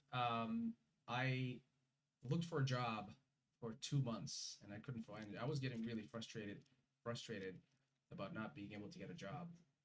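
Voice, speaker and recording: The man sounds somewhat breathy, with ordinary pitch variation. He keeps a moderate pace broken by long, frequent pauses. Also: medium pitch for a man. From Uzbekistan. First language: Russian. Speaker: immigrant guest. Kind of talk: interview. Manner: halting.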